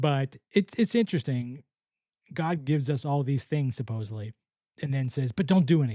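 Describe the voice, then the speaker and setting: Talking at a fairly quick pace in an American accent, a man with a dark, mellow, somewhat breathy tone uses lively intonation and big swings in loudness, with a dry, close sound with no echo. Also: fairly high pitch for a man. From US South, Florida. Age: 50s. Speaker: podcast host. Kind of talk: casual monologue. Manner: relaxed.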